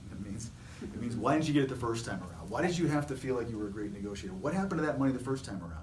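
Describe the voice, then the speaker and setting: Over noticeable background noise and audible room echo, a man talks very fast at medium pitch, his voice swinging very widely up and down. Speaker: staffing agency CEO. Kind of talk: casual chat. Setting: video recording. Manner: animated.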